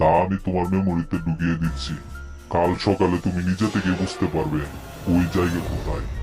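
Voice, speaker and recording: Putting on a character voice, a man speaks with a very deep, low pitch at a moderate pace while clear music plays in the background. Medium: short film. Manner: casual, colloquial, confiding.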